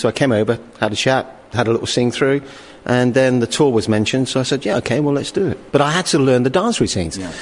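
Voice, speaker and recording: A man with a British accent speaks at a very fast pace. His voice sits at a medium pitch with ordinary pitch variation. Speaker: pop group singer. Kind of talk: recorded interview.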